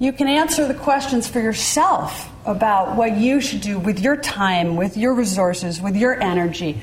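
Speaking with an American accent at a moderate pace, a woman uses a fairly high pitch that swings very widely. Noticeable background noise and audible room echo surround her. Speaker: economist and former presidential adviser. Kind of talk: lecture. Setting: lecture hall with audience.

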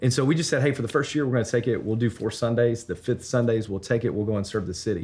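A man in a Memphis accent talks very fast and somewhat breathily, with hardly any pauses. The recording is very clean, with a silent background. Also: medium pitch for a man, ordinary pitch variation. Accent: Southern US (Memphis). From Memphis, Tennessee. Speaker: church planter, pastor. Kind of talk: interview. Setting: on location at a conference.

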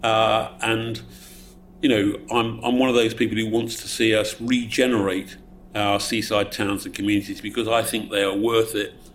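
A man speaks in a southeast English accent at a medium pitch. His intonation stays monotone and flat. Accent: south-east English. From Essex, England. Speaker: politician. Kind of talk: audience Q&A answer; panel talk. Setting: event with live audience.

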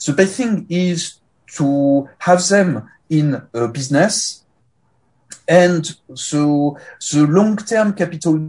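Against a quiet background, a man speaks at a very slow pace in a high pitch. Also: ordinary pitch variation. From France. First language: French. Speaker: sociology professor. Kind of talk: academic presentation. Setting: video call.

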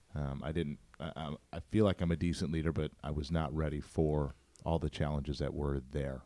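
In a very deep, low pitch with vocal fry and a dark, mellow tone, a man speaks at a moderate pace with fairly even intonation. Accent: American. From St. Louis, Missouri (North County). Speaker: pastor. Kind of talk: casual chat.

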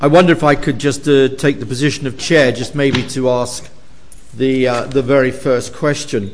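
This man has a normal speaking voice at medium pitch, with fairly even intonation and a moderate pace. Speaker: professor chairing event. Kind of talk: academic event chairing and Q&A. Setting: university lecture hall with audience.

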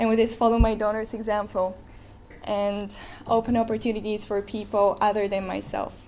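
A woman talks at a fairly high pitch in a monotone, flat intonation. There is audible room echo. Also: moderate pace. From Bulgaria. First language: Bulgarian. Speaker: student. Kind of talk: speech. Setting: stage with audience.

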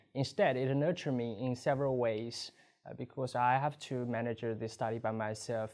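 The speaker has a Chinese accent. The pace is fairly quick. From China. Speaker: student. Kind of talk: testimonial.

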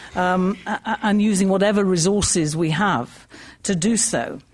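Somewhat breathy and lively in intonation, a woman speaks at a medium pitch. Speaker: magazine editor, activist. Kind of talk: panel talk. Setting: lecture hall with audience. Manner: conversational.

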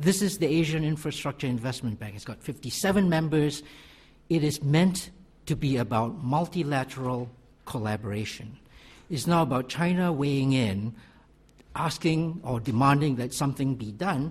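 A moderate pace with ordinary pitch variation and a somewhat breathy sound. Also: man, fairly high pitch for a man. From Malaysia. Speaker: economics professor. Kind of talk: panel talk. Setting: conference stage.

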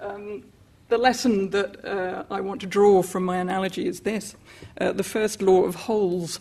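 At a moderate pace, a woman speaks with a dark, mellow tone and fairly even intonation. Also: medium pitch for a woman. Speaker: political economy scholar. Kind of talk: panel talk. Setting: lecture hall with audience.

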